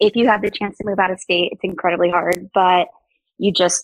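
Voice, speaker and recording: The sound is dry and close, with no echo. A woman speaks at medium pitch with ordinary pitch variation. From US South. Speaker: podcast guest. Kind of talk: casual interview chat. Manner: fast talker.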